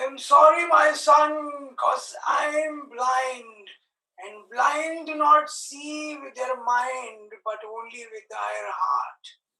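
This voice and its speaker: Using a put-on character voice at a high pitch, a woman shouts at a very slow pace with big swings in loudness and a slight echo. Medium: stage play. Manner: slow, mournful.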